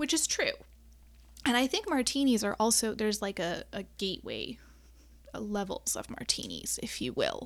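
A woman with a US Midwestern accent speaks at a moderate pace with long, frequent pauses in a very clean recording with a silent background. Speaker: podcast host and astrologer. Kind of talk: casual solo monologue. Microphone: new USB microphone with wind guard.

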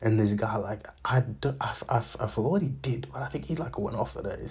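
Noticeable background noise behind a man's fairly quick speech. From raised abroad from age two, born in Zambia. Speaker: podcast host. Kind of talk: casual monologue. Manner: halting, many fillers.

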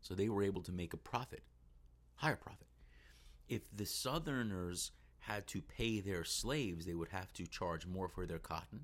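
The delivery moves at a moderate pace. Its intonation is lively. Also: man. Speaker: middle school history teacher. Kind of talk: educational solo podcast. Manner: casual, unscripted.

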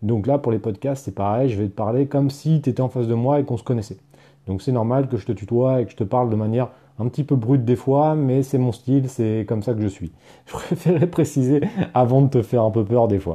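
A man talks at a fairly quick pace in a dark, mellow tone. His pitch sits in the medium range and varies in an ordinary way. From Paris region, France. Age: 30s. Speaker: online entrepreneur and podcaster. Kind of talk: casual monologue, personal story. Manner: conversational, addresses listener as tu; hesitant, frequent fillers and repetitions.

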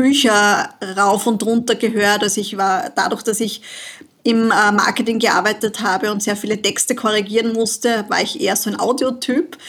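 A woman talks at a moderate pace in a fairly high pitch. She has an ordinary speaking voice. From Austria, southern Burgenland. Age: 40s. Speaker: money and business mentor. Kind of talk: casual interview.

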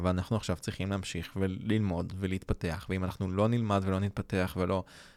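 A man speaks at a moderate pace in a fairly low pitch with an unremarkable speaking voice. The recording is very clean, with a silent background. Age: 20s. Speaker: graphic designer podcast co-host. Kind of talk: casual chat. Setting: studio.

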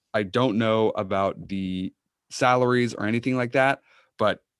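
An unremarkable speaking voice from a man at a medium pitch, with ordinary pitch variation and a dry, close sound with no echo. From Massachusetts (Uxbridge). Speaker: sports podcast co-host. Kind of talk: casual chat. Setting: video call.

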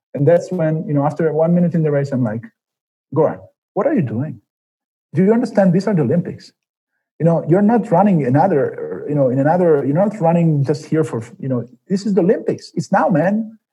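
A man talks fairly quickly in a high voice with a dark, mellow tone. His intonation is lively. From Milan, Italy. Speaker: Olympic runner. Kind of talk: interview.

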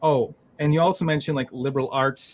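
A man talks at a fairly quick pace in an ordinary speaking voice with a fairly high pitch. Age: 30s. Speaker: collage podcast host. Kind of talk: casual interview chat.

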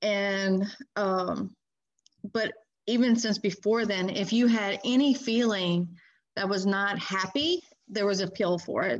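Speaking in an American accent, a woman has a plain, everyday voice at a medium pitch with fairly even intonation. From Louisiana, US South (Baton Rouge area). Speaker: recovering addict sharing her experience. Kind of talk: personal recovery testimony in an interview.

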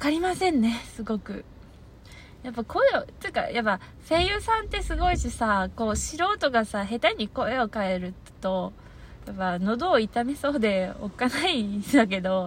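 Somewhat breathy and fairly high in pitch, a woman's voice moves at a moderate pace with very wide pitch swings. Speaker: audio streamer. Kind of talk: casual solo monologue. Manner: laughs often.

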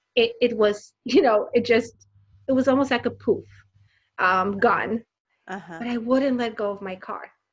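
A woman speaks at a moderate pace in a fairly high pitch with ordinary pitch variation. Her loudness swings widely, and she leaves long, frequent pauses. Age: 40s. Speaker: designer and inspirational speaker. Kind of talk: interview.

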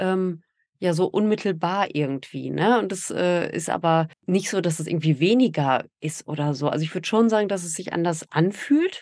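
A woman with an unremarkable speaking voice, fairly low in pitch, at a moderate pace with ordinary pitch variation. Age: 40s. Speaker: podcaster and mother in a same-sex family. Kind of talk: interview.

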